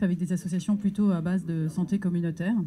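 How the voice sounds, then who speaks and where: On a very clean recording with a silent background, a woman speaks in a dark, mellow, somewhat breathy voice with fairly even intonation. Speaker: NGO advocacy worker. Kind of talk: round-table presentation. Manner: hesitant, many fillers.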